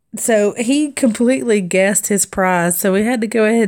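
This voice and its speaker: A woman in a Southern accent with ordinary pitch variation, on a very clean recording with a silent background. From US South. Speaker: crafting vlogger. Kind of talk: casual chat. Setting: live stream.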